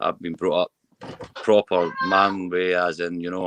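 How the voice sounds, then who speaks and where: With a West Lothian accent, a man speaks in a very deep, low voice, and the sound is dry and close with no echo. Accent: Scottish (West Lothian). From Scotland. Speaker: mental health campaigner. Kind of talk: personal testimony. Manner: halting with repetitions.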